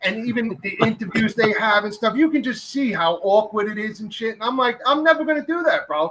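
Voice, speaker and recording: Loud and animated, a man with a New York accent speaks at a fairly quick pace with hardly any pauses. His pitch is high and his intonation lively. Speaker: podcast host. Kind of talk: casual chat. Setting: live stream.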